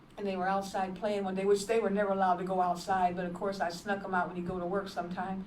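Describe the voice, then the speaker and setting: A woman talks at a very fast pace, with audible room echo around her voice. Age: 70s. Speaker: evangelist and nurse. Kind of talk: testimony. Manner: halting.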